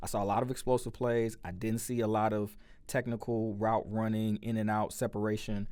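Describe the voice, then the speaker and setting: A man with an American accent, fairly low pitch, a dark, mellow tone, and a moderate pace. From US Midwest, St. Louis, Missouri. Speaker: sports podcast host. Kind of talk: casual sports commentary podcast. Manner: loud; casual, with many fillers. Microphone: close to the mic, levels being adjusted.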